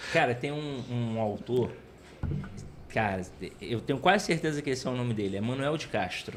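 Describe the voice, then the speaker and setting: With audible room echo, a man of medium pitch talks at a moderate pace with lively intonation and long, frequent pauses. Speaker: teacher, podcast co-host. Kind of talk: casual chat. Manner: soft-spoken; even, steady tone.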